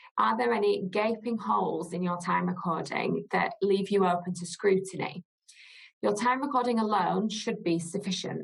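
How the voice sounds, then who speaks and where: In a slight northern English accent, a woman talks at a moderate pace with a medium pitch and lively intonation. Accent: slight northern English twang. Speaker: legal director, costs lawyer. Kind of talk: webinar presentation. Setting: webinar.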